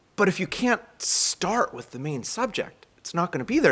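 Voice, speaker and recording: A man with an American accent uses vocal fry and very wide pitch swings. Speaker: rabbi. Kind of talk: sermon. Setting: synagogue live stream. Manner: fast.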